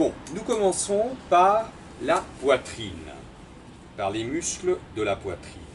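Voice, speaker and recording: A man's high voice moves through very wide pitch swings at a very slow pace. Long, frequent pauses break it up, and background noise is noticeable. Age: 60s. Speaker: theatre and dance company director. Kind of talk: exercise tutorial. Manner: formal.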